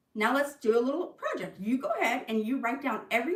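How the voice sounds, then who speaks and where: A woman speaks at a fairly quick pace with a fairly high pitch. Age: 50s. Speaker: tax preparer and insurance agent giving finance tips. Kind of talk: livestream talk. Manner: fast; casual, chatty.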